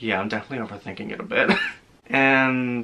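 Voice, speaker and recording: Over noticeable background noise, a man talks at a moderate pace. His pitch sits in the medium range. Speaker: movie trailer reactor. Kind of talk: casual reaction commentary. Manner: animated.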